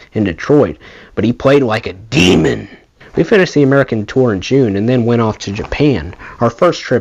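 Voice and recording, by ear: Reading aloud, someone uses a natural voice with pitch that varies in an ordinary way.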